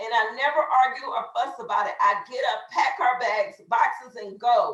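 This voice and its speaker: A woman's high voice in a Texas accent, with an animated tone. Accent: Southern US (Texas). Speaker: network marketing team leader. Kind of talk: motivational training talk. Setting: video call. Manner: loud.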